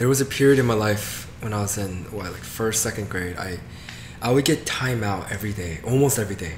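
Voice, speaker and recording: A man talks at a fairly quick pace, fairly low in pitch with ordinary pitch variation. The recording has audible room echo and noticeable background noise. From US South, Georgia. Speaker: comedian. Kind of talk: casual interview chat.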